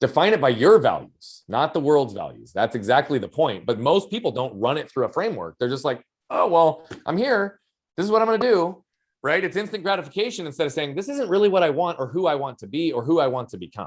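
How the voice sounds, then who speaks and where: This man talks loudly at a very fast pace, his fairly high voice swinging very widely in pitch. Vocal fry runs through his speech. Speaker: human behavior and performance coach. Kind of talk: podcast interview.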